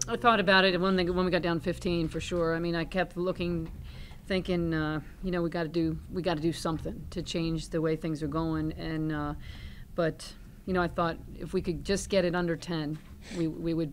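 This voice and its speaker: Over light background noise, a woman with a fairly low pitch speaks at a moderate pace in a monotone, flat intonation. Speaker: head basketball coach. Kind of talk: press conference answer. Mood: pleased, measured. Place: meeting room. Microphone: podium.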